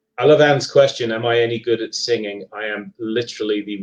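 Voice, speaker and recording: Talking at a very fast pace, a man uses a medium-pitched voice. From England, Leicester. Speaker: paranormal author and investigator. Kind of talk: live podcast interview. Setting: live online stream. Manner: hesitant, many fillers and repeats.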